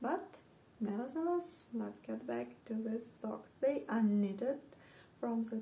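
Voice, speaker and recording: A woman with a non-native accent, speaking very slowly. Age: 40s. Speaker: knitting podcaster. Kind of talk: casual show-and-tell monologue. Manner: hesitant, with frequent fillers.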